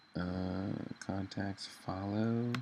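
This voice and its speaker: Very deep, low male voice, intonation fairly even. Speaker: web designer. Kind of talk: tutorial. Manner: casual with fillers.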